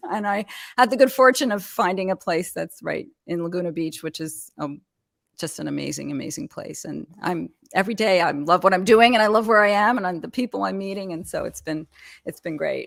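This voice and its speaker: Heard in a very clean recording with a silent background, a woman at a medium pitch talks fairly quickly with lively intonation, vocal fry and big swings in loudness. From Canada, Montreal. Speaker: small business consultant. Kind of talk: interview. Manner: halting.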